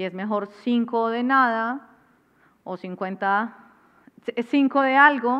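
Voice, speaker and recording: Against a quiet background, a woman speaks at a very slow pace. Her pitch is fairly high. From Colombia. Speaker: cultural manager and artist manager; masterclass lecturer. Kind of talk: masterclass lecture. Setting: classroom with live audience. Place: stage. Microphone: headset.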